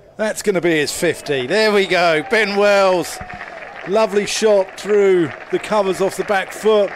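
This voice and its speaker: A high-pitched male voice at a fairly slow pace, with ordinary pitch variation and very even loudness, over crowd noise in the background. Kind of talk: live commentary.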